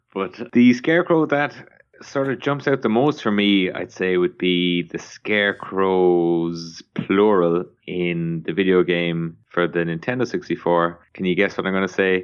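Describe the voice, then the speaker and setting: Here a man with an Irish accent talks at a fairly slow pace. His pitch is very deep and low, with ordinary variation. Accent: foreign accent (Irish). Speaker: podcast guest, horror fan. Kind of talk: casual chat.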